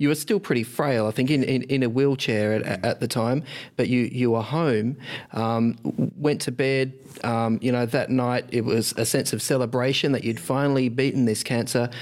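A man speaks with an Australian accent at a medium pitch and a moderate pace. His loudness stays very even, with ordinary pitch variation. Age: 40s. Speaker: podcast host. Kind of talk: scripted narration; interview. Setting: at guest's home.

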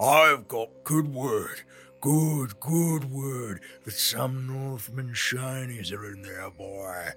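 A man's put-on character voice at medium pitch, very slow, with clear music in the background. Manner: babbling, repetitive, greedy.

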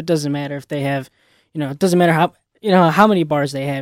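A man with an American accent speaks at a fairly high pitch, his intonation fairly even. The sound is dry and close with no echo, and the recording is very clean over a silent background. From Chicago area, Illinois. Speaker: college radio sports pundit. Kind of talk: casual sports chat. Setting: studio.

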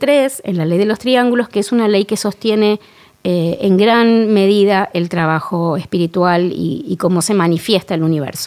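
A woman speaks with a Rioplatense accent and lively intonation. The recording is very clean, with a silent background. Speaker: actress and candle maker. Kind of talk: interview.

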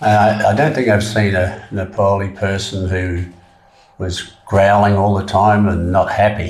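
Over noticeable background noise, a man with a fairly low pitch talks at a fairly slow pace in a monotone, flat intonation. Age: 70s. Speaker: trekker. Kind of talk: interview. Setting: studio.

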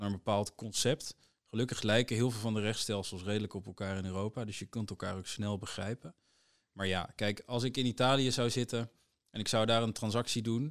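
A man's ordinary speaking voice, fairly low in pitch, at a fairly quick pace, with fairly even intonation and big swings in loudness, in a very clean recording with a silent background and a dry, close sound with no echo. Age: young. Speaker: corporate lawyer. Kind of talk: casual interview.

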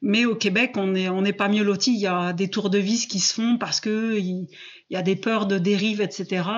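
Monotone, flat speech from a woman at medium pitch, moderate pace and very even loudness. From southwest France. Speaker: coach on fear, former biology teacher. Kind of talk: interview. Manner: hesitant, many fillers.

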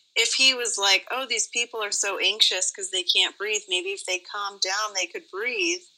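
A woman with an American accent and a plain, everyday voice speaks fairly high at a moderate pace, with ordinary pitch variation and hardly any pauses. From Nevada. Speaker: emergency room nurse. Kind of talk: casual chat.

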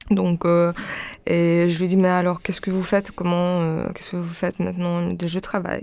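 The delivery is at a moderate pace with monotone, flat intonation. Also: woman. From Ukraine. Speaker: singer and performer. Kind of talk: radio interview.

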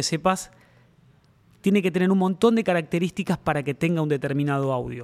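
A man in a Rioplatense accent, high-pitched, fairly quick, with ordinary pitch variation. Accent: Argentine Spanish (rioplatense). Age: 50s. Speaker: drum maker. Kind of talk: interview. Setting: workshop. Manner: halting.

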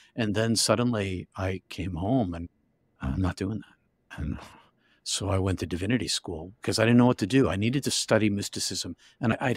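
A normal speaking voice with an American accent, ordinary pitch variation and a fairly quick pace, in a very clean, dry, close recording with no echo and a silent background. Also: man. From US Northeast, Massachusetts near Boston. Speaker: author and minister. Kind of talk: interview testimony.

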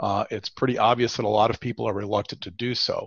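A man speaks at a moderate pace, his voice somewhat breathy. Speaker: state chief economist. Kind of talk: professional forecast discussion.

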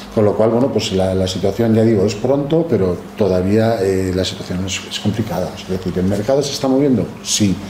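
A man with a fairly low pitch and ordinary pitch variation talks at a moderate pace with hardly any pauses, amid noticeable background noise and audible room echo. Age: 50s. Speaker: temporary staffing industry executive. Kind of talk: interview.

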